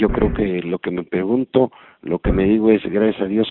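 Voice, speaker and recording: A man speaks with a very deep, low pitch and fairly even intonation. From Mexico. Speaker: voice actor. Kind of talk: interview.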